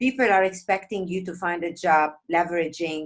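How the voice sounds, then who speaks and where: A woman with a non-native accent, fairly low in pitch, at a moderate pace. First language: not English. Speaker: interview host, food blogger. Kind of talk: interview.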